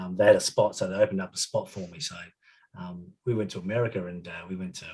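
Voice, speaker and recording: A man with an Australian accent talks at a fairly low pitch. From Adelaide, South Australia. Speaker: retired footballer. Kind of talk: casual storytelling interview. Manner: halting, many fillers.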